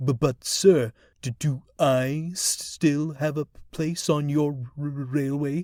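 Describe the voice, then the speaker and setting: In a put-on character voice, a man talks at a fairly slow pace and fairly high pitch, on a very clean recording with a silent background. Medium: read story. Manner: nervous, stuttering.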